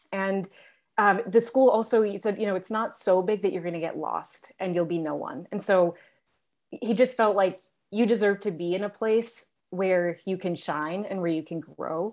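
At a moderate pace, a woman with an American accent speaks in an unremarkable speaking voice with ordinary pitch variation. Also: medium pitch for a woman, very clean recording, silent background. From upstate New York. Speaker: school leader and educator. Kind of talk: casual chat.

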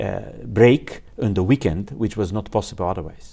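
In a Bulgarian accent, a man speaks at a moderate pace with a dark, mellow tone, fairly low pitch and ordinary pitch variation. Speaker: engineer and applied physicist. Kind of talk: interview. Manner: halting.

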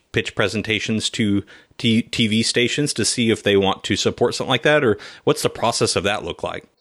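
A man with an American accent talks at a fairly quick pace, with ordinary pitch variation, in an ordinary speaking voice. The recording is very clean with a silent background and a dry, close sound with no echo. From California. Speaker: podcast host and agribusiness recruiter. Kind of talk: interview.

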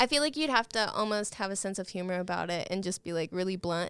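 Using lively intonation and some vocal fry, a woman speaks at medium pitch with an American accent. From Oklahoma, Guthrie. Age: 20s. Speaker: singer-songwriter. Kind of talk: casual interview chat.

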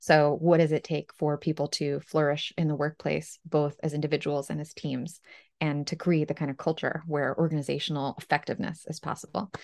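A woman speaks with a very deep, low pitch in a flat monotone, at a fairly quick pace with hardly any pauses. The sound is dry and close with no echo, and the background is quiet. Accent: American. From Ukraine, moved to the US as a child. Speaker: company co-founder and psychology author. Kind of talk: interview.

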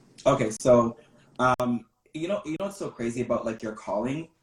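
Somewhat breathy, a man talks at a fairly quick pace and medium pitch with ordinary pitch variation. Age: 20s. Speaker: social media content creator. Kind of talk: casual interview.

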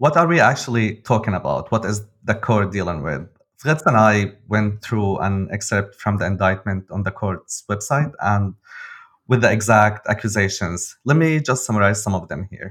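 In a very clean recording with a silent background, a man with an Arabic accent speaks in a fairly low voice with lively intonation. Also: moderate pace. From Syria, Damascus. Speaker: journalist, podcast co-host. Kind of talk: explanatory podcast conversation.

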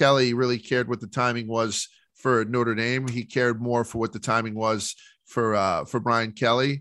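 A man with an American accent speaks at a medium pitch and a moderate pace, his tone bright and sharp. His intonation is monotone and flat, on a very clean recording with a silent background. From New York (Brooklyn). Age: 40s. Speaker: sports media personality. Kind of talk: casual chat.

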